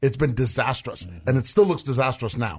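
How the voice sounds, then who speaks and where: Somewhat breathy, this man talks at a fairly quick pace with lively intonation. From Russia. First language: Russian. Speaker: political commentator, co-host. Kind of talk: casual political chat.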